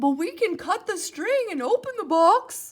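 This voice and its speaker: A put-on character voice is pitched extremely high. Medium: read story. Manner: earnest, excitable.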